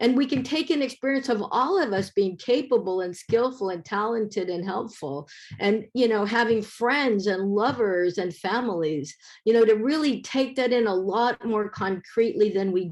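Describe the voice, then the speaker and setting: Lively intonation marks this woman's speech in an American accent. She talks at a moderate pace with a fairly high pitch over a quiet background. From US West Coast, San Francisco Bay Area. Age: 60s. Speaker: professor, keynote speaker. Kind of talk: conference keynote presentation. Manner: hesitant, many fillers.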